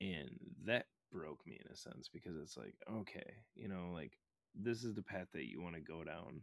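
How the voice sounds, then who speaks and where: In an American accent, a man with a very deep, low voice and vocal fry speaks at a moderate pace with lively intonation, the sound dry and close with no echo. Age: 20s. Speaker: podcaster and record label member. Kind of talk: casual chat.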